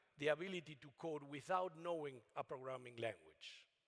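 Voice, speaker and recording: With a non-native accent, the speaker talks at a fairly quick pace with ordinary pitch variation. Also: man. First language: not English. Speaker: AI researcher. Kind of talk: keynote talk. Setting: conference stage with audience. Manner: halting.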